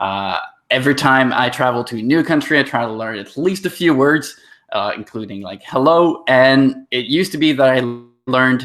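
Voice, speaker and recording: Against a quiet background, a man speaks at a moderate pace with a medium pitch. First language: French. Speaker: training session host. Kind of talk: casual live session intro.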